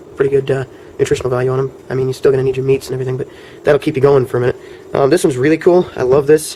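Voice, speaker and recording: Noticeable background noise runs under a man's medium-pitched voice. He speaks at a very fast pace in a monotone, flat way. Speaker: survival gear vlogger. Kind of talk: show-and-tell tutorial. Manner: hesitant, many fillers.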